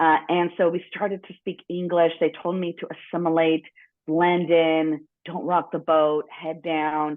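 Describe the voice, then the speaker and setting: With a General American accent, a woman speaks fairly slowly at a fairly low pitch, her intonation monotone and flat while her loudness swings widely. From Los Angeles, US. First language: Spanish. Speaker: business executive and board member. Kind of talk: podcast interview. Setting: studio.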